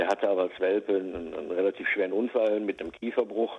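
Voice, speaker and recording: At a moderate pace, a man speaks in a plain, everyday voice with a fairly low pitch and fairly even intonation. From Westerwald, western Germany. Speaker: search dog trainer and animal recovery specialist. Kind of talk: casual interview. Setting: phone call.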